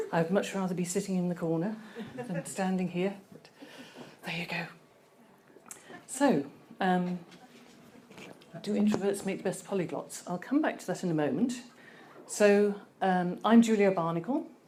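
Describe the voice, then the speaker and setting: A soft-spoken woman talks at a moderate pace, leaving long, frequent pauses. Her loudness swings widely, and room echo is audible. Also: medium pitch for a woman, ordinary pitch variation. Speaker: conference speaker. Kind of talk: presentation talk. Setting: stage with audience. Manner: hesitant.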